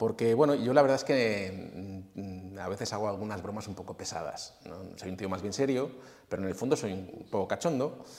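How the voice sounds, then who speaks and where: This man has an unremarkable speaking voice with lively intonation. His loudness swings widely from moment to moment. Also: fairly low pitch for a man, moderate pace. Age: 40s. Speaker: fitness coach and former bodybuilder. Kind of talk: casual interview.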